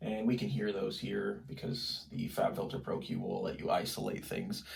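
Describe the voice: In a room with audible echo, a man speaks at a moderate pace with vocal fry, a fairly low pitch and fairly even intonation.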